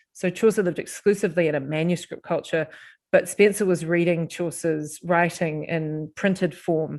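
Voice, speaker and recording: A woman with a New Zealand accent speaks at a moderate pace in a fairly low pitch with fairly even intonation, on a very clean recording with a silent background. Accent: New Zealand twang. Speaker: professor. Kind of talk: podcast interview. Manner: hesitant, with fillers and restarts.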